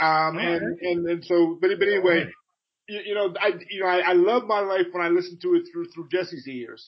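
A man speaks with an American accent in a high pitch. His intonation stays fairly even, and his pace is fairly quick. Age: 50s. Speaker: legal humorist, co-host. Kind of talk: casual chat. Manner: halting, many repeated words.

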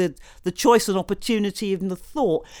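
Speaking fairly quickly with lively intonation, a woman with a British accent comes through on a very clean recording with a silent background. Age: 60s. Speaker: political activist. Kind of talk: panel discussion.

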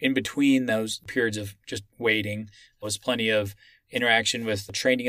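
A man with an American accent, fairly low pitch, a bright, sharp tone and monotone, flat intonation, at a moderate pace, in a very clean recording with a silent background. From Texas, Austin. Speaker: military officer. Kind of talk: interview.

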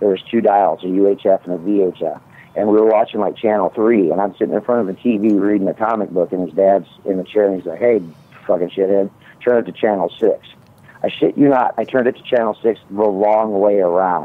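Here a man with an American accent has an unremarkable speaking voice. His pitch is fairly low and his pace fairly quick. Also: fairly even intonation. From US Midwest (Omaha area). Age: 50s. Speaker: caller, cannabis grower. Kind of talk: casual chat.

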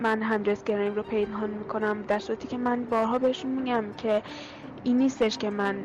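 A woman speaks at a fairly quick pace in a fairly high voice. Background noise is noticeable.

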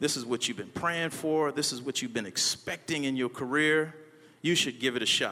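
A man with an animated, bright, sharp tone at a fairly quick pace. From US South, New Orleans, Louisiana. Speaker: pastor and motivational speaker. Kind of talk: motivational speech. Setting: stage with audience.

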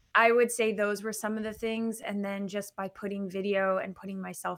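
A woman's unremarkable speaking voice at medium pitch, with fairly even intonation. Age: 40s. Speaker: entrepreneur and networking expert. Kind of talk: interview.

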